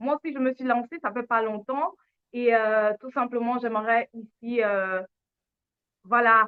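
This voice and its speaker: Very slow delivery with long, frequent pauses and big swings in loudness. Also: woman, fairly high pitch for a woman, fairly even intonation. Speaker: lifestyle channel host. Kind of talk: live stream conversation.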